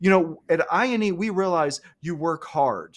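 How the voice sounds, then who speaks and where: A man with an Alabama accent speaks in an animated tone, his pitch rising and falling by ordinary amounts. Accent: Southern US (Alabama). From US South, Alabama. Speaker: cloud computing instructor. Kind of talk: live-streamed webinar chat. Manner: fast.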